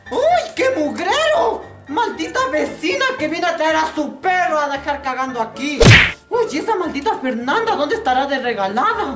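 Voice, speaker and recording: A woman with a high-pitched voice talks at a fairly slow pace. Clear music plays behind her. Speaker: actress playing a scolding mother. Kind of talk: comedy sketch acting. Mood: annoyed, scolding. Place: street. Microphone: camera far.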